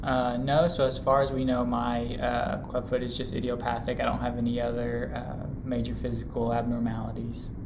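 With hardly any pauses, a man keeps a moderate pace while noticeable background noise sounds behind him. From Louisville, Kentucky. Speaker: medical student. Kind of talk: casual interview.

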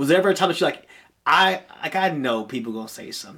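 A man with a fairly high pitch and an American accent. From Peoria, Illinois. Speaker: podcast host. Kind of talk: casual interview.

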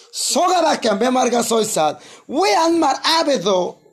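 A man speaks at a very slow pace with very wide pitch swings. Noticeable background noise runs behind him. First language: Guna (Kuna) (speaking Spanish). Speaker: pastor. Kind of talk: sermon. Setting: church.

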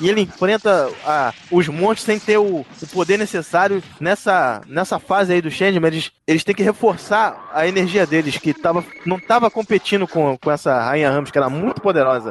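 A man talks at a moderate pace with an animated tone. His intonation is lively and he hardly pauses. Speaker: podcast host. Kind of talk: casual chat.

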